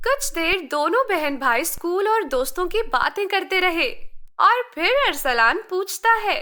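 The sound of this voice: A woman's extremely high voice, bright and sharp in tone, with big pitch swings at a fairly slow pace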